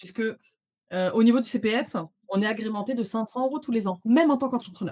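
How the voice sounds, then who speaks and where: Somewhat breathy and dark, mellow in tone, a woman's fairly high voice races along at a very fast pace with ordinary pitch variation over a quiet background. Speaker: social media visibility trainer; guest. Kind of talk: interview conversation. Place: home room. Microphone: studio mic.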